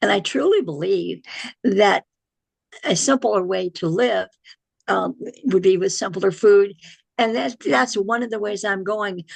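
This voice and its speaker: A woman's fairly slow voice with vocal fry, long, frequent pauses, and a dry, close sound with no echo. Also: medium pitch for a woman, ordinary pitch variation. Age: 80s+. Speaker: health educator. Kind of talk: interview.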